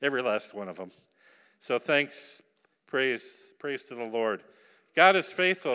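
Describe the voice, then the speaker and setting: A man's medium-pitched, bright, sharp voice with an American accent, fairly slow, with big swings in loudness, on a very clean recording with a silent background. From Upper Michigan, US. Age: old. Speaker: missionary. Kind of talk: sermon. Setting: church.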